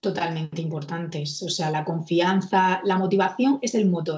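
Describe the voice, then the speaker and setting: The woman's voice is somewhat breathy. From Murcia, Spain. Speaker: court clerk and exam coach. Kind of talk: interview.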